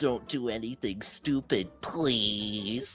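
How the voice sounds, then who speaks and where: A man speaks very slowly in a put-on character voice at a medium pitch. Clear music plays in the background. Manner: mocking.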